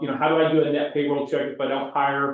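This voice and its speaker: A normal speaking voice moves at a fairly quick pace. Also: man. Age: 60s. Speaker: CPA and real estate class instructor. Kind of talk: lecture. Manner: casual, conversational.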